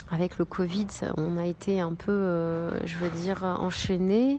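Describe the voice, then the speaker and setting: This woman talks at a medium pitch, with ordinary variation in her pitch. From France, of Moroccan heritage. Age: young. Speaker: singer-songwriter. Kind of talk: interview. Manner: halting, with repetitions.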